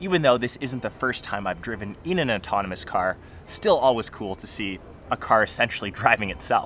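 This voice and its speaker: With music in the background, a man talks at a fairly quick pace with lively intonation in a dry sound with no echo. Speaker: tech vlogger. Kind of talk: casual vlog chat. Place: street.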